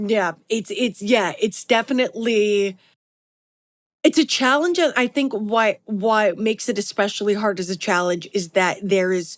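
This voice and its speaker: With a New York accent, a woman speaks at a moderate pace in a fairly high pitch, her intonation lively. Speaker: podcast host. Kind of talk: interview.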